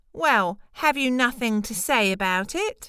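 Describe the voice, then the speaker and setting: In a put-on character voice, a woman speaks with lively intonation at a fairly slow pace. Her pitch is fairly high, and the recording is very clean with a silent background. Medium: read story. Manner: smooth, sly.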